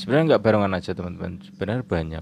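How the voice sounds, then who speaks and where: Noticeable background noise sits behind a man with a very deep, low pitch, and the sound is dry with no echo. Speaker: channel host, interviewer. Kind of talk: casual vlog outro chat. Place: home room. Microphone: handheld.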